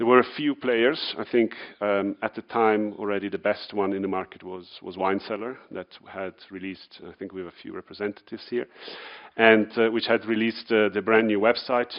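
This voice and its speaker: A man with an Italian accent, fairly low-pitched and fairly quick, his intonation fairly even but his loudness swinging widely. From Italy. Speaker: wine retail entrepreneur. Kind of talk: conference talk. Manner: hesitant, many fillers.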